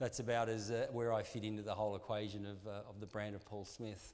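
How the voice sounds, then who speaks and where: With an Australian accent, the speaker keeps a monotone, flat intonation at a moderate pace while audible room echo surrounds the voice. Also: man. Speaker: sports marketing executive. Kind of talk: conference talk. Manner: hesitant, many fillers.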